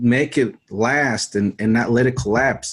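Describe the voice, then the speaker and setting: With an American accent, a man has an ordinary speaking voice, medium pitch and fairly even intonation. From Mexico City, Mexico until age 10, then US. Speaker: survival channel creator. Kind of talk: interview.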